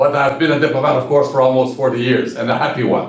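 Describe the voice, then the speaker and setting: Audible room echo surrounds a man's voice. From Quebec, Shawinigan. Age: 70s. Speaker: retired diplomat. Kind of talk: interview. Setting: in a room with sun in his eyes. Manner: halting.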